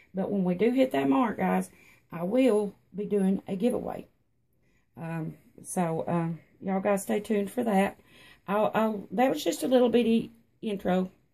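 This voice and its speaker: A woman with a strong Tennessee accent, a dark, mellow tone, and medium pitch, at a moderate pace with ordinary pitch variation and long, frequent pauses. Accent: thick country accent (Tennessee). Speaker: reborn doll artist and vlogger. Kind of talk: casual vlog. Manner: hesitant, many fillers.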